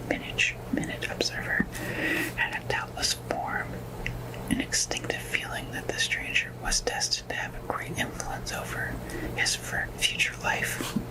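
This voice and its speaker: At a fairly slow pace, a whispering voice comes through noticeable background noise. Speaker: ASMR creator. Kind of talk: read story. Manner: soft-spoken.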